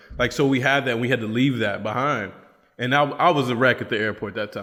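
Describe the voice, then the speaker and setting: A man with an American accent, medium-pitched, animated and bright, sharp in tone, at a fairly quick pace with ordinary pitch variation. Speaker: podcast host, missionary. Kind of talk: casual chat.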